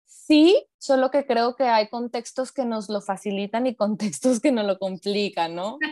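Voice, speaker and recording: Over a quiet background, a woman with a fairly high pitch and a dark, mellow tone speaks at a fairly slow pace, with ordinary pitch variation, hardly any pauses and a dry, close sound with no echo. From Mexico, Hermosillo (Sonora). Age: 30s. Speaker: psychologist. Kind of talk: interview.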